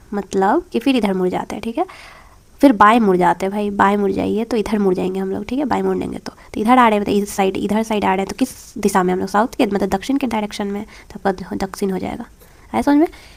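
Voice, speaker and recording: At a very fast pace, a woman speaks with medium pitch and ordinary pitch variation. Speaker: exam prep teacher. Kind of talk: tutorial. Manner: conversational, with fillers.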